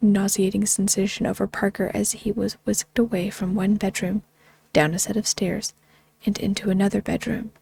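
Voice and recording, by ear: The text is read aloud in a natural voice.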